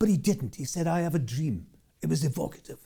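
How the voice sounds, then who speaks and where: This man's voice has a dark, mellow tone, a fairly high pitch and vocal fry. He talks at a very fast pace. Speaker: motivational speaker and storyteller. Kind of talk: keynote storytelling speech.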